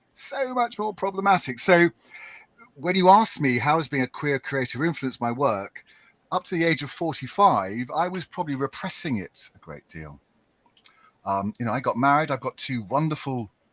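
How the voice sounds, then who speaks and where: Heard in a dry, close recording with no echo, a man with an English accent talks at a moderate pace. His pitch swings very widely. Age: 60s. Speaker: writer and podcaster. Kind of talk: panel discussion.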